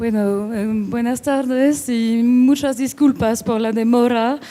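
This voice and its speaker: A woman with a strong non-native accent speaks in a fairly high pitch with a dark, mellow tone. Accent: strong foreign accent in Spanish. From France. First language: French (speaking Spanish). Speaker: book editor and art collector. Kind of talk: panel talk at book launch. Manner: halting, many fillers.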